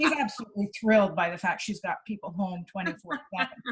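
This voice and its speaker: A woman speaks at a fairly quick pace and a medium pitch. It is a plain, everyday voice. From Canada. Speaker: clinical psychologist. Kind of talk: interview answer.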